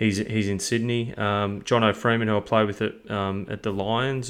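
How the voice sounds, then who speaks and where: A man with an Australian accent speaks in a fairly low, monotone voice with flat intonation. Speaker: football coaching business founder and podcast host. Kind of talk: casual chat. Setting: remote call.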